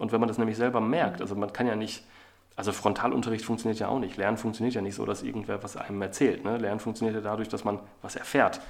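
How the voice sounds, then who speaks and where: Speaking at a very fast pace, a man uses a fairly low pitch and monotone, flat intonation over noticeable background noise. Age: 40s. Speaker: agency CEO and author. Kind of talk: interview.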